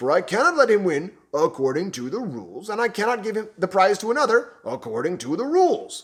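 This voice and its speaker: A man performs a put-on character voice, high in pitch with very wide pitch swings. His pace is fairly quick. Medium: read story. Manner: bellowing.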